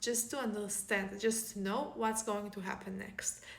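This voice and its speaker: The intonation is monotone and flat. Noticeable background noise sits behind the voice. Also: woman. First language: Hebrew. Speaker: author. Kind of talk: casual vlog talk.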